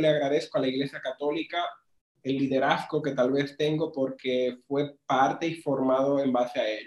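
A man talks in a fairly high pitch with fairly even intonation. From Dominican Republic, rural Pimentel. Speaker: marketing agency owner. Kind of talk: casual interview. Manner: relaxed.

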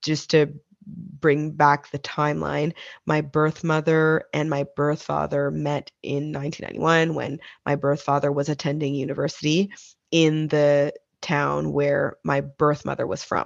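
A woman speaks with a Maritime Canadian accent at a fairly slow pace. Her very deep, low pitch stays in a monotone, flat intonation. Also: quiet background. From Nova Scotia, Canada. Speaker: adoptee sharing her story. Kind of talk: interview testimony.

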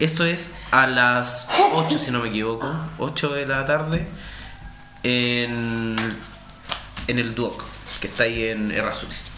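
Speaking very slowly with long, frequent pauses, a man uses a medium pitch and ordinary pitch variation. Noticeable background noise runs under his voice. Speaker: radio co-host. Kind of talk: casual chat.

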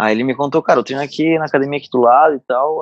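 A man's intonation stays fairly even as he rushes along at a very fast pace. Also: dry, close sound with no echo. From southern Santa Catarina, Brazil (Araranguá). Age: 30s. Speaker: CrossFit coach and gym owner. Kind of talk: casual interview.

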